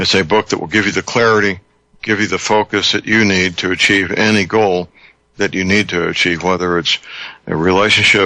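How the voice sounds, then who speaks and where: A man speaks at a fairly quick pace in a very deep, low pitch. His intonation is monotone and flat, and his loudness is very even. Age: 70s. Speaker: radio talk show host. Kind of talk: talk radio call-in show. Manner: halting.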